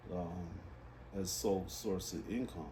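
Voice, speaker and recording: A man speaks very slowly in a very deep, low voice that is somewhat breathy. His pitch varies in an ordinary way, and the room echo is audible. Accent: American. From Los Angeles, California. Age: 60s. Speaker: reading instructor. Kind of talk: interview.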